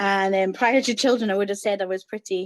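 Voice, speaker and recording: A woman with a Scottish accent speaks at a medium pitch with fairly even intonation, in a dry, close sound with no echo. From Scotland. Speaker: course participant, mother, former dance school owner. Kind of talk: interview. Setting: video call. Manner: hesitant, many fillers.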